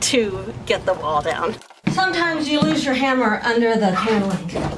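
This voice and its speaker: Over noticeable background noise, the voice has an American accent and very wide pitch swings. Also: woman. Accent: Texas accent, stronger when hot and tired. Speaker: vlogger renovating a house. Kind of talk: vlog narration.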